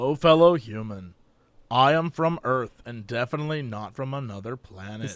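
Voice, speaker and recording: A man puts on a robotic character voice at a medium pitch and a moderate pace. The recording is very clean, with a silent background. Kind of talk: stilted, formal. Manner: stiff, robotic, unnatural inflection.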